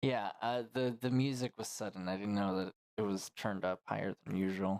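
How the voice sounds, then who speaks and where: With fairly even intonation and a fairly low pitch, a man speaks at a moderate pace, the sound dry and close with no echo on a very clean recording with a silent background. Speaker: gaming streamer. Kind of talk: casual chat with stream chat. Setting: live stream. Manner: loud.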